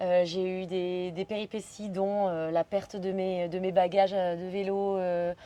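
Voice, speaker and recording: A woman speaks in a dark, mellow tone at a fairly slow pace, monotone and flat, with hardly any pauses. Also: medium pitch for a woman. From Belgium. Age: 30s. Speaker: solo bicycle traveler. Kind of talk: podcast interview. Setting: hotel in Pai, Thailand.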